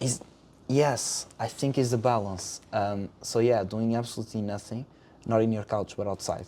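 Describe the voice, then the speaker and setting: Speaking with a Portuguese accent, a man uses a dark, mellow tone at medium pitch, moderate pace and fairly even intonation. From Portugal. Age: 20s. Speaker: acting student. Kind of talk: casual chat. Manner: halting.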